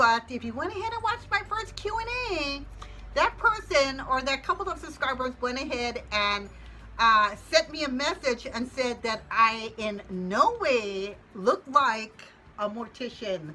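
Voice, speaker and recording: A raised, projected voice at a fairly slow pace with very wide pitch swings and music in the background. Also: woman, high pitch for a woman. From Hawaii, Hilo. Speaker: YouTuber, full-time mom. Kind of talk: casual chat to camera. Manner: casual, chatty.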